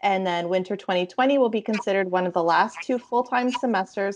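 Here a woman talks. Her pitch varies in an ordinary way. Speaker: university admission counselor. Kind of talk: online information session. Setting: video call. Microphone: video call.

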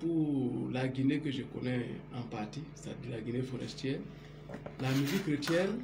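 At a moderate pace, a man speaks with ordinary pitch variation and long, frequent pauses, over noticeable background noise. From Guinea, forest region (Macenta). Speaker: computer technician. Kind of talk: on-camera interview. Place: home room. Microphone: phone near.

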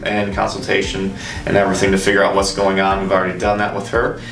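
A man talking at a very fast pace, with audible room echo and faint music in the background. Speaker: chiropractor. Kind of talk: demonstration explanation. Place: office. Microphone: camera far.

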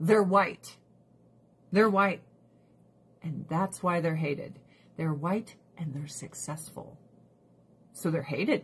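Very slowly and with long, frequent pauses, a woman speaks in a somewhat breathy, fairly low voice with ordinary pitch variation and big swings in loudness. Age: 40s. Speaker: livestreamer. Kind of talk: casual livestream chat. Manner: animated.

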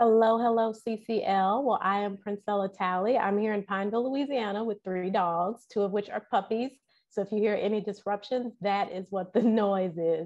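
Behind the voice, all is quiet. A woman talks with fairly even intonation. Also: moderate pace. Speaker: guest. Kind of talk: interview answer. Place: home room. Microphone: earbuds.

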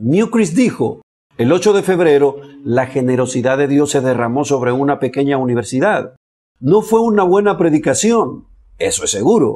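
Against a quiet background, a man with a dark, mellow tone makes very wide pitch swings. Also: moderate pace. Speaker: religious commentator. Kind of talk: commentary.

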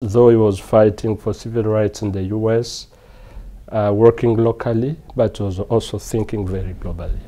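The man's intonation is monotone and flat, delivered at a moderate pace. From Eastern DR Congo. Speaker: peacebuilding NGO director. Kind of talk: interview testimony. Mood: earnest, reflective. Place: hall. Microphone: lapel.

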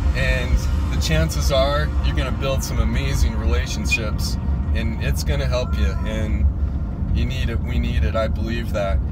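Clear music plays behind a man talking at a moderate pace, his voice dry with no echo. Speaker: faith vlogger. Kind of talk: casual vlog chat, exhortation. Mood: earnest, encouraging. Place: car. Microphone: phone near.

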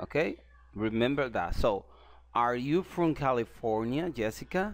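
A man with a Spanish accent speaks at a fairly slow pace, his pitch swinging very widely, in a very clean recording with a silent background. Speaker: English teacher. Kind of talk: language lesson. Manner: explanatory, repeats phrases.

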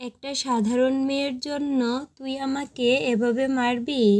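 Using a put-on character voice, a woman speaks high-pitched and shaky in a flat monotone. She moves at a fairly slow pace. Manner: trembling, frightened.

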